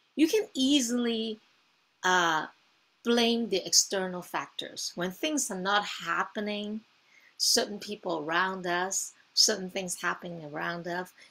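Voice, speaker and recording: A woman's bright, sharp voice with a non-native accent and lively intonation, at a fairly slow pace. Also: medium pitch for a woman. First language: not English. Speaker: wellness coach. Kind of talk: coaching session demo. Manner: hesitant, many fillers.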